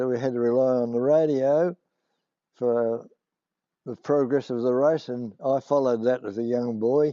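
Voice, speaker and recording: A man at medium pitch, with a strong Australian accent and fairly even intonation. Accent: broad Australian. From rural Victoria, Australia. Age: 80s+. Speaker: war veteran. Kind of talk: oral history interview. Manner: halting, many fillers.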